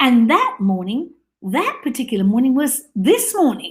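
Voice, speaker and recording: Speaking in an Australian accent, a woman sounds animated, with lively intonation at a moderate pace. The recording is very clean, with a silent background. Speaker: live streamer, mother. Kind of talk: casual live-stream monologue. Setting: live video stream.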